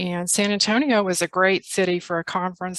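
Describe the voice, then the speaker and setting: Here a woman speaks with a slight Texas accent at a medium pitch. Her intonation stays fairly even. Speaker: literacy tutor presenting a workshop. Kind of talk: workshop presentation on video call. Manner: hesitant, many fillers.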